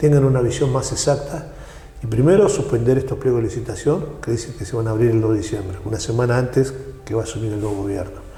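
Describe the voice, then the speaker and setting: Over noticeable background noise and audible room echo, a man speaks very fast at medium pitch with ordinary pitch variation. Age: 60s. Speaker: trade union leader. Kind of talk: interview.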